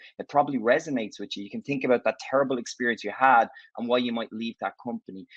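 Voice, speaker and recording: A man with an Irish accent talks at a very fast pace with lively intonation. The sound is dry and close, with no echo. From Ireland. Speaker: tech company executive. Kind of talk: conference talk. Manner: conversational.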